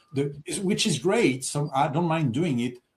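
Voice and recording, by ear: Speaking at a moderate pace in a French accent, a man with a fairly high pitch has lively intonation, a slightly mellow tone and a slightly husky edge.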